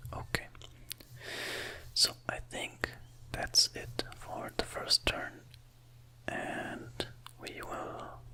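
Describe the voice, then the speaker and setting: Whispering at a very slow pace with long, frequent pauses, the voice comes through over noticeable background noise. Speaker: ASMR content creator. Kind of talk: ASMR let's play gameplay commentary. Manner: whispered, relaxing.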